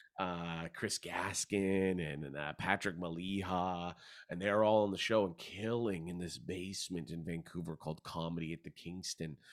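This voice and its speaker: Hardly any pauses in fairly even intonation, in a Canadian accent, on a very clean recording with a silent background. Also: man, very deep, low pitch for a man, moderate pace. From Hamilton, Ontario, Canada. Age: 30s. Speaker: stand-up comedian and actor. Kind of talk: interview. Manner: relaxed.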